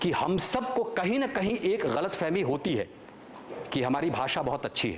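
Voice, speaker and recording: Amid noticeable background noise and audible room echo, a man with a high pitch speaks in an animated tone with very wide pitch swings. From Chhattisgarh, Ramanujganj near Bihar border. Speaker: actor. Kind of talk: motivational talk at workshop. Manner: animated storytelling.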